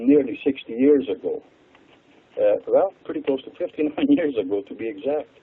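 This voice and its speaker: A man with a Hungarian accent at a moderate pace. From Hungary. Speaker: water expert. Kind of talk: radio interview.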